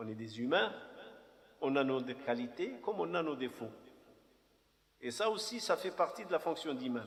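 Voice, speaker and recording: His pitch swings very widely. The man's voice sits fairly high and keeps a moderate pace. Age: 50s. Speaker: imam. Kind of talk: personal testimony talk. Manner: halting.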